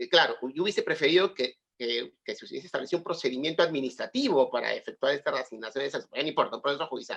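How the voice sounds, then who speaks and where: A man talks at a very fast pace. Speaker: lawyer and university lecturer. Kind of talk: webinar discussion.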